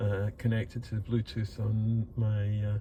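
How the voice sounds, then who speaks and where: This man has a dark, mellow tone at a medium pitch. His voice comes across somewhat breathy. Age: old. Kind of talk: casual talk to camera.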